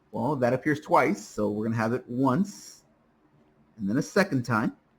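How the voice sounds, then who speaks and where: Recorded very cleanly against a silent background, a man speaks at a moderate pace and medium pitch, somewhat breathy, with lively intonation. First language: Spanish. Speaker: math teacher. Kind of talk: lecture. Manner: many filler uhs.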